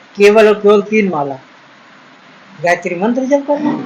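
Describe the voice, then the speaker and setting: There is noticeable background noise. A man speaks at a high pitch. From Uttar Pradesh, India. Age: 60s. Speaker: ayurvedic doctor. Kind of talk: advice talk. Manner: earnest, pleading.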